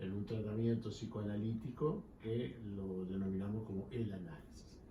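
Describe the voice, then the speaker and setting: A somewhat breathy voice talks at a moderate pace with fairly even intonation. Audible room echo surrounds it. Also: man. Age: 60s. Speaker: psychoanalyst. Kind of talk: interview. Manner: formal.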